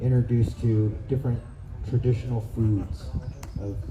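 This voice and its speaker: Soft-spoken and fairly slow, a man talks in a fairly low pitch with fairly even intonation, amid noticeable background noise and audible room echo. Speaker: horseback traveler and traditional foods forager. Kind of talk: speech to an outdoor gathering.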